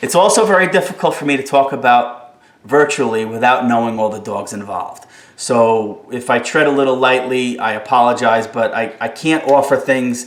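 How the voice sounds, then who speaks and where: A New Jersey accent with ordinary pitch variation and audible room echo. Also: man. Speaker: dog trainer. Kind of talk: live stream Q&A. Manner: fast; animated.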